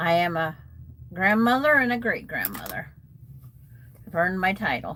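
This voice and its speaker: A woman's voice with lively intonation at a moderate pace, over noticeable background noise. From US Pacific Northwest, Washington State. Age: 70s. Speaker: quilting livestream host. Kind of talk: casual livestream chat while sewing. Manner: halting.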